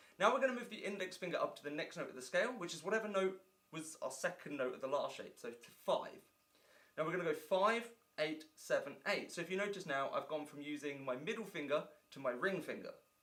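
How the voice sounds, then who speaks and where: At a very fast pace, a man with an English accent speaks at a high pitch with lively intonation and big swings in loudness. His tone is bright and sharp. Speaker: guitar teacher. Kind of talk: tutorial. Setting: indoor room with filming lights.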